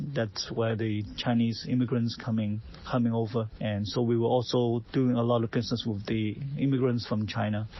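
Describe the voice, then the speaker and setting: Against noticeable background noise, a man talks at a medium pitch and moderate pace, with monotone, flat intonation and very even loudness. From Hong Kong. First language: Cantonese. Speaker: realtor. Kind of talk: personal story to camera. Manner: halting, many fillers.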